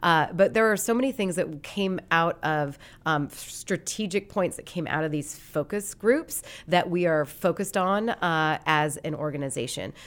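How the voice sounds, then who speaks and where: With an American accent, a woman speaks in a plain, everyday voice at a moderate pace and fairly low pitch, with ordinary pitch variation, in a very clean recording with a silent background. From Montana, Great Falls. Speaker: sports league marketing executive. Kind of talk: interview.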